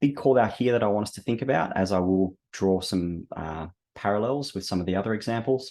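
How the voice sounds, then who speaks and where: Against a quiet background, a man with an Australian accent talks at a fairly quick pace, his fairly low voice dark and mellow in tone. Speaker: webinar host, operations director. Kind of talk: product webinar presentation. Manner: hesitant, many fillers.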